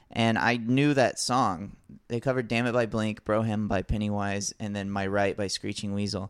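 A man with a normal speaking voice talks in an American accent at a moderate pace. His pitch is fairly low and his intonation fairly even. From US South, Alabama beach town. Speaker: comedian and musician. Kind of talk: casual chat.

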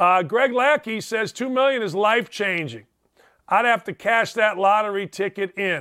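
A man with a high pitch speaks in a raised, projected voice with an animated tone, at a moderate pace with ordinary pitch variation. The recording is very clean with a silent background and a dry, close sound with no echo. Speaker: sports radio host. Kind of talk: casual chat. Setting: studio.

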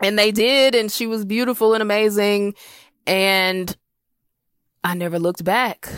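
On a very clean recording with a silent background, a woman with an American accent speaks at a moderate pace and a medium pitch, with fairly even intonation and long, frequent pauses. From South Carolina. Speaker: comedian. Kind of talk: comedic personal story.

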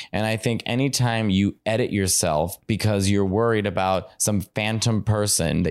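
In a Chicago accent, a man talks at a fairly low pitch and a moderate pace. His intonation stays fairly even on a very clean recording with a silent background. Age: 30s. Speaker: comedian. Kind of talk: casual chat. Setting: home.

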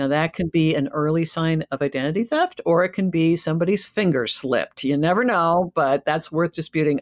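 An unremarkable speaking voice from a woman, fairly low in pitch and fairly quick, with ordinary pitch variation and a very clean recording with a silent background. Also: hardly any pauses, dry, close sound with no echo. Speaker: podcast host. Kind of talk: casual chat.

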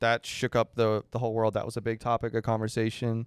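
A man's medium-pitched voice at a moderate pace, an unremarkable speaking voice. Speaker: podcast co-host.

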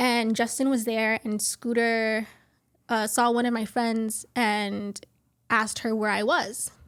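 On a very clean recording with a silent background, a woman with an American accent speaks very slowly at a fairly high pitch, in a monotone, flat intonation and very even loudness. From Miami, Florida. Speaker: interviewee. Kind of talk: interview.

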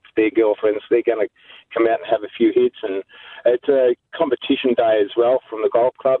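Speaking in an Australian accent, a man keeps a moderate pace. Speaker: charity golfer. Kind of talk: radio interview. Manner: halting, hesitant.

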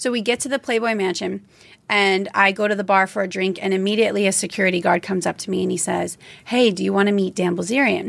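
A woman with a medium pitch talks at a very fast pace. Her intonation stays fairly even, with vocal fry. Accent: American. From US South, Louisiana. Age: 30s. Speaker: social media model. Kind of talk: interview, storytelling.

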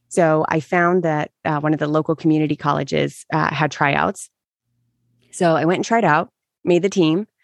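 At a moderate pace, a woman speaks with a fairly low pitch and ordinary pitch variation. The background is quiet and the sound dry and close, with no echo. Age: 40s. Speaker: meditation podcaster. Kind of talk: casual chat. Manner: halting.

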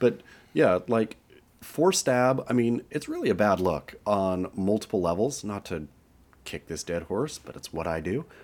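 With an American accent and an unremarkable speaking voice, a man talks at a fairly slow pace, fairly low in pitch, with lively intonation. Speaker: surf podcast co-host. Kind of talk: casual chat.

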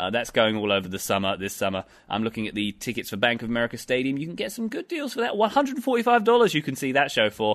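A man with an English accent talks very fast with hardly any pauses against a quiet background. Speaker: soccer commentator. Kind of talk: casual chat.

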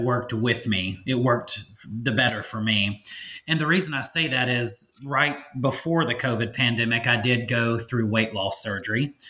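A man speaks at medium pitch in a bright, sharp tone. Audible room echo surrounds his voice.

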